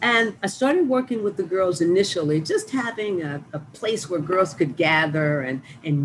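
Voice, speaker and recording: A woman with an American accent talks at a fairly slow pace against noticeable background noise. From East St. Louis, Illinois. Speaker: arts nonprofit founder and director. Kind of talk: radio interview.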